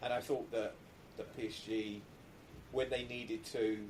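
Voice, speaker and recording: A man with an English accent speaks at a moderate pace, using a medium pitch and fairly even intonation. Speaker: football podcast host. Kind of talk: scripted intro; casual chat.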